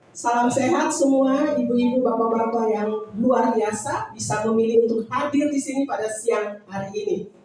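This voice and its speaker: Against noticeable background noise and audible room echo, a woman speaks at a moderate pace and a fairly high pitch, with ordinary pitch variation and hardly any pauses. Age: 60s. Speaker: customer giving product testimonial. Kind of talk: testimony. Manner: halting, with frequent fillers.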